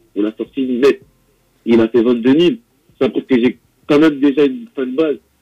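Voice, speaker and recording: With long, frequent pauses, a man speaks at a moderate pace and a medium pitch in a dark, mellow tone with ordinary pitch variation. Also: dry, close sound with no echo. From Paris suburbs, Val-de-Marne (Champigny) and Melun. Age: young. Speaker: rapper. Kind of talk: interview.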